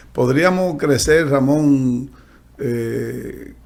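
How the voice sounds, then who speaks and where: Audible room echo surrounds a man's voice. He speaks at a medium pitch with fairly even intonation. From Dominican Republic, San Pedro de Macorís. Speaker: podcast host, economist. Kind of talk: interview conversation.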